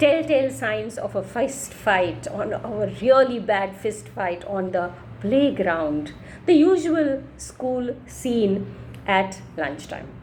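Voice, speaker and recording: A woman with a Marathi accent speaks very slowly at medium pitch with very wide pitch swings. Noticeable background noise and audible room echo are present. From India, Maharashtra. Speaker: storyteller. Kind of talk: reading aloud.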